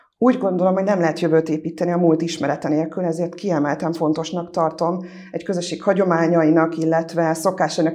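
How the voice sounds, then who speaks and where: A woman's dark, mellow voice, fairly low in pitch, monotone and flat, at a very fast pace with hardly any pauses, over a quiet background. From Felsőgalla, Tatabánya, Hungary (German-speaking village); Hungary. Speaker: local council candidate; council candidate. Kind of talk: candidate self-introduction. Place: studio. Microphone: lapel.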